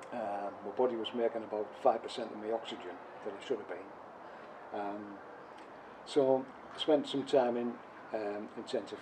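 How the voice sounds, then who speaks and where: A man with a Teesside accent, fairly low pitch and fairly even intonation. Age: 70s. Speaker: covid survivor. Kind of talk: personal testimony interview. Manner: hesitant, many fillers.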